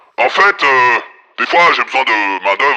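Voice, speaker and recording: A man speaks at a moderate pace in a put-on character voice, his pitch sitting in the middle of his range. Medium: actual play. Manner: vague, halting, casual.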